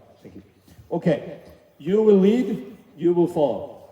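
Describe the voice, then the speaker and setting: A man speaks in a dark, mellow tone with a Swedish accent. His pace is fairly slow. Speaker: youth basketball coach. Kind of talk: coaching clinic demonstration. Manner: halting, many fillers and restarts.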